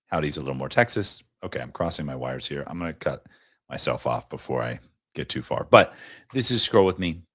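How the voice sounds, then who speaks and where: The background is quiet. The voice has vocal fry and lively intonation. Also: man. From US South. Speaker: livestream host; live streamer. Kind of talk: casual chat. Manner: animated. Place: home room. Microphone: studio mic.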